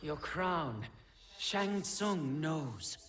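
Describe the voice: A man puts on a cartoonish character voice pitched fairly high.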